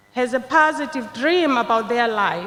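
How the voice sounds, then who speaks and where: Over noticeable background noise, a woman speaks with a high pitch and lively intonation. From Zimbabwe. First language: not English, a Zimbabwean language. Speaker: nursing graduate, commencement speaker. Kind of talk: commencement speech. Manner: formal.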